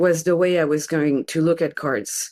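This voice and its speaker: In a French accent, a woman speaks with a fairly low pitch. The recording is very clean, with a silent background. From France. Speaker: tarot reader and scholar. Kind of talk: interview conversation. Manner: halting.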